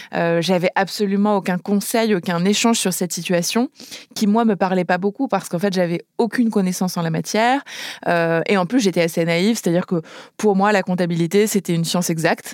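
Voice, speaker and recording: With an ordinary speaking voice, a woman speaks at a fairly quick pace and medium pitch, her loudness very even and her intonation fairly even, on a very clean recording with a silent background. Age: 30s. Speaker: startup founder. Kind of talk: interview testimony.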